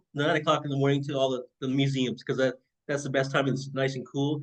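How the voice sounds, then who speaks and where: His voice is pitched fairly high. The man talks at a fairly quick speed. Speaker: podcast host. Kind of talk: casual interview chat. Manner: fast; halting, many fillers.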